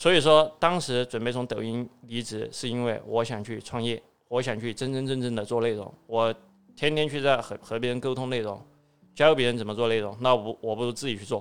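Talking at a fairly quick pace, a man uses fairly even intonation in a southwestern Chinese accent. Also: medium pitch for a man. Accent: Southwestern Mandarin. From Southwest China. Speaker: escape room entrepreneur. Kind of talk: interview.

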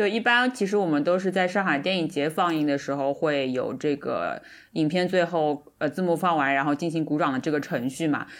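A woman's unremarkable speaking voice at a fairly quick pace with hardly any pauses, ordinary pitch variation, very even loudness and a very clean recording over a silent background. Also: fairly low pitch for a woman. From Shanghai. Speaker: podcast co-host. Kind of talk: casual chat.

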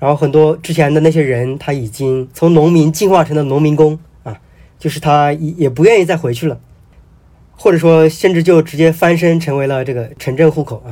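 With a dark, mellow tone, a man speaks fairly quickly at a fairly high pitch and ordinary pitch variation. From Hubei, China. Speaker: novelist. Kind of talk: casual interview conversation.

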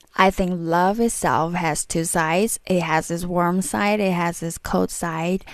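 Very slowly, a woman speaks in a fairly low voice with monotone, flat intonation. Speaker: music vlogger. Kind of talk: casual vlog commentary.

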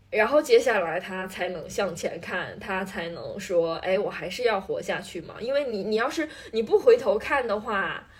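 A somewhat breathy woman's voice, fairly high-pitched, at a moderate pace with lively intonation and hardly any pauses. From Northeast China. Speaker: podcast co-host. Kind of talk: casual chat.

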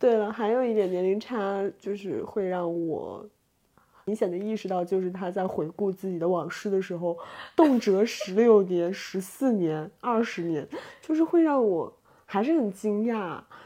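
Against a quiet background, a woman with a normal speaking voice talks at a fairly slow pace and medium pitch. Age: 20s. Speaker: podcast co-host. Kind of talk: casual chat. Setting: lying in bed.

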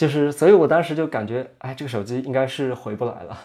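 A man's tone is dark and mellow. His pace is fairly quick. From Yunnan, China. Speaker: young film director and tea seller. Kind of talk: casual interview conversation.

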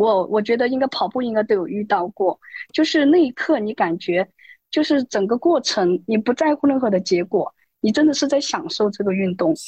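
At a moderate pace, a woman with a fairly high pitch, very wide pitch swings and a somewhat breathy, dark, mellow tone is heard in a dry, close sound with no echo. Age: 30s. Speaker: amateur runner, interview candidate. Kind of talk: interview.

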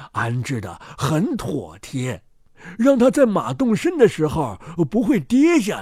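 A man talks at a fairly slow pace with very wide pitch swings. His tone is slightly mellow.

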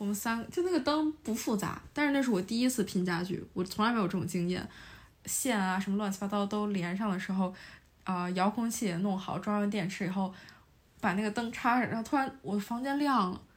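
Speaking fairly quickly, a woman with a medium pitch sounds somewhat breathy and varies her pitch in an ordinary way. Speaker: university student. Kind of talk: casual chat.

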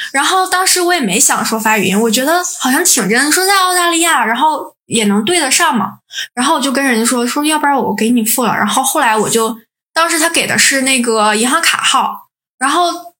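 A woman with high pitch and a bright, sharp tone speaks in a raised, projected voice at a fairly quick pace. Her intonation is lively and her loudness very even. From Northeast China. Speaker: podcast co-host, PhD student. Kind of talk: casual chat.

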